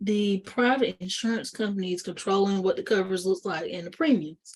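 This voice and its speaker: A woman talks in an unremarkable speaking voice at medium pitch and a fairly quick pace, with ordinary pitch variation. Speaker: insurance agent presenting webinar. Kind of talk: educational webinar presentation. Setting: online webinar.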